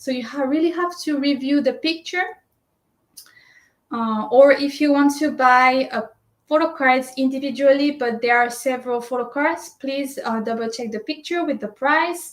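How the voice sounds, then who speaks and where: A woman speaks at a high pitch and a moderate pace with ordinary pitch variation. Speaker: shopping service presenter. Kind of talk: tutorial. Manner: hesitant, many fillers.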